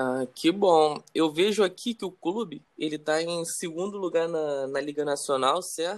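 Pitched high, a man speaks at a fairly slow pace with ordinary pitch variation and hardly any pauses. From Brazil. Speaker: football podcast host, club fan. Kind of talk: casual interview chat.

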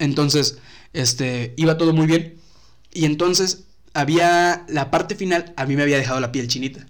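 He has a normal speaking voice with a fairly high pitch for a man. The man speaks at a moderate pace with ordinary pitch variation. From Mexico, Tampico (Tamaulipas). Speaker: YouTube content creator. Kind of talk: casual chat.

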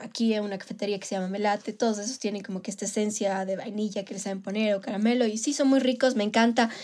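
With an unremarkable speaking voice, a woman talks at a fairly high pitch with fairly even intonation. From Ecuador, Manabí. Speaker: podcast co-host. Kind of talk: casual chat. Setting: recorded remotely, separately.

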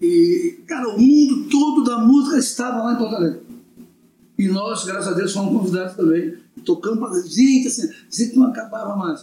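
Using lively intonation, a man speaks at an extremely high pitch and a fairly quick pace. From Brazil, Florianópolis. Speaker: samba musician. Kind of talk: casual chat.

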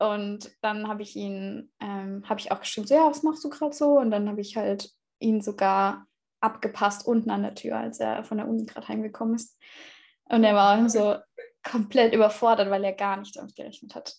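A woman speaks at a fairly quick pace in a fairly high pitch. Her pitch varies in an ordinary way, and her loudness swings a lot. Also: quiet background. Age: 20s. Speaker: former au pair, student. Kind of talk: interview. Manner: hesitant with fillers.

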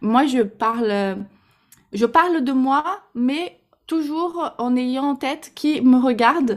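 A woman with a slight Brazilian accent talks in a high pitch with ordinary pitch variation, recorded very cleanly against a silent background. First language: Portuguese (speaking French). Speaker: Instagram marketing coach. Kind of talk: podcast interview. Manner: hesitant, many fillers.

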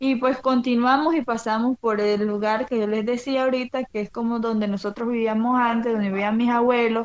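A woman talks at a fairly quick pace with hardly any pauses, her fairly high voice flat and monotone against a quiet background. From Colombia, La Guajira (Wayuu community). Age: 20s. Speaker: community tourism organizer. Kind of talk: interview.

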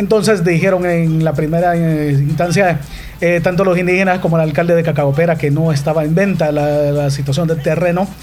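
A man speaks at a high pitch and moderate pace, with fairly even intonation and very even loudness. Audible room echo and noticeable background noise are present. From El Salvador, Morazán. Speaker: sports journalist. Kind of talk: interview; live commentary. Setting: radio studio. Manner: articulate, announcer-like. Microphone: too far from the mic.

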